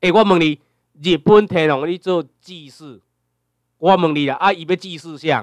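A man's high voice at a moderate pace, fairly even in intonation, with big swings in loudness, long, frequent pauses and a dry, close sound with no echo. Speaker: lecturer. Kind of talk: lecture. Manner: filler-heavy, repetitive tag questions.

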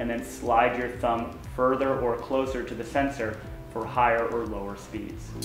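Faint music plays in the background as a man talks at a moderate pace, with audible room echo. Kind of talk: tutorial. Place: garage. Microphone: camera far.

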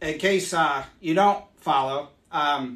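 This man talks at a slow pace with ordinary pitch variation. His pitch is fairly high and his tone fairly bright.

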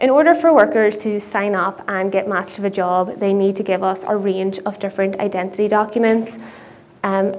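A woman keeps a moderate pace and fairly even intonation while light background noise plays beneath. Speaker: conference speaker. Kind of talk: conference talk. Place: stage. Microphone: lapel.

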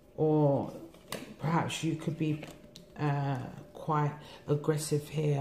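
Speaking with a London accent, a woman has a very deep, low pitch and a dark, mellow tone, somewhat breathy, over light background noise. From England. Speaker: tarot reader. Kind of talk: tarot reading monologue. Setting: home recording. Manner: relaxed. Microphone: phone near.

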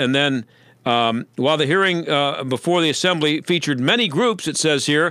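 A man talks at a moderate pace with a fairly high pitch and lively intonation. His tone is bright and sharp, the sound is dry with no echo, and the background is quiet. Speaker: radio talk show host. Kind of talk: talk radio monologue and interview; radio commentary. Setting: radio studio. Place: studio. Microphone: studio mic.

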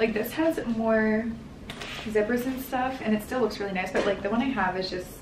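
A woman speaks with fairly even intonation amid audible room echo and light background noise. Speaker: lifestyle vlogger. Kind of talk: casual vlog chat. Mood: cheerful, laughing. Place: home room. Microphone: camera far.

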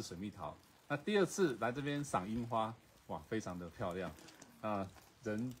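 Over light background noise, a man talks at a moderate pace with very wide swings in pitch. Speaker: travel show host. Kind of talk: casual vlog chat. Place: garden. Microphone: phone near.

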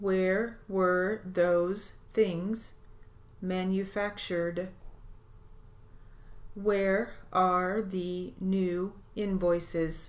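A woman talks at a very slow pace, leaving long, frequent pauses. Her intonation stays monotone and flat. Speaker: steno dictation reader. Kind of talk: dictation drill.

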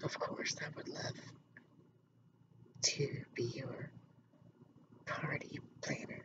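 A woman whispers very slowly, with long pauses coming often. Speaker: ASMR role play as event planner. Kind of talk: ASMR role play, event planner. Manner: soft-spoken. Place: home room. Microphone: webcam.

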